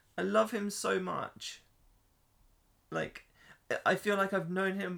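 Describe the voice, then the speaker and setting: The speaker talks very slowly in an English accent. Long pauses come often. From England. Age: 30s. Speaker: podcast host. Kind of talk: casual chat.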